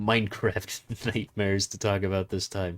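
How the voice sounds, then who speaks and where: On a very clean recording with a silent background, a man with a fairly low pitch speaks in a monotone, flat intonation. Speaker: gaming youtuber. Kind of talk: gameplay commentary. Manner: halting.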